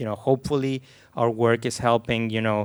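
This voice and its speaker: A man with a Venezuelan accent speaks at a moderate pace in a medium pitch with monotone, flat intonation. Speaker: film composer, panelist. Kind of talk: panel discussion.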